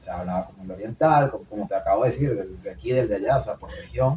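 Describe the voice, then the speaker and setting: The speaker here is a man. There is a somewhat breathy quality to his voice. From Venezuela, Maracay. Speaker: podcast co-host. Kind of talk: casual chat. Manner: fast.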